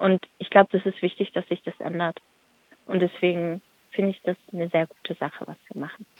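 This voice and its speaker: At a fairly quick pace, a woman with a fairly low pitch speaks in a monotone, flat intonation. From Stuttgart, Germany. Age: 30s. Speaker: activist. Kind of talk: interview.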